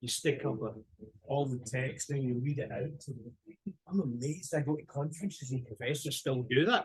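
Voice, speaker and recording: At a fairly quick pace, a man talks in a somewhat breathy voice with ordinary pitch variation. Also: fairly high pitch for a man. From Britain. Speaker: professor. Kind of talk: lecture. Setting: video call.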